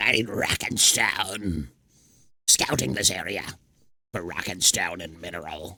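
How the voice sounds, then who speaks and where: A man puts on a character voice that is very deep and low, moving at a fairly slow pace with long, frequent pauses. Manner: gruff, deep.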